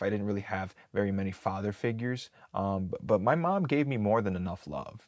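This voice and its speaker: Talking at a fairly quick pace with an American accent, a man has a normal speaking voice, fairly low in pitch with ordinary pitch variation. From Wisconsin, US Midwest. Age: 20s. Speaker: job seeker. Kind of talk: personal monologue.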